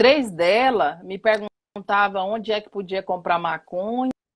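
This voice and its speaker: Her voice is an unremarkable speaking voice, fairly high in pitch, with lively intonation. The sound is dry and close, with no echo. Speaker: professor and activist. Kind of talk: live talk. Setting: online live stream.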